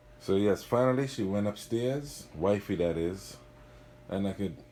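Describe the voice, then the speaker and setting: Speaking with a Trinidadian accent, a man with a fairly low pitch and dark, mellow tone talks at a moderate pace with lively intonation. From Trinidad and Tobago. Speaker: mountain biker. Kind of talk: casual bike check video. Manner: casual, self-correcting.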